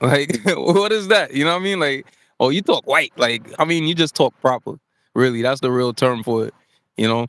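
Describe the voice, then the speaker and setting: With lively intonation and a fairly high pitch, a man talks at a moderate pace in a dry, close recording with no echo. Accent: American. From New York. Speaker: talk show host. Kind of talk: casual live-stream chat. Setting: live stream with chat. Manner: casual, repetitive with filler words.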